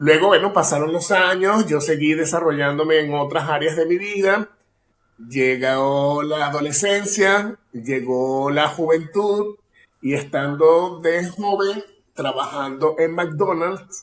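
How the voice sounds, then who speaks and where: Speaking at a very slow pace, a man uses a fairly high pitch and ordinary pitch variation. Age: 40s. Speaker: actor and acting teacher. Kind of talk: casual interview chat.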